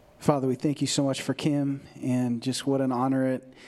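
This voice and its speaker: The man's medium-pitched voice has a dark, mellow tone and a monotone, flat intonation. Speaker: church member. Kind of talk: prayer. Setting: church.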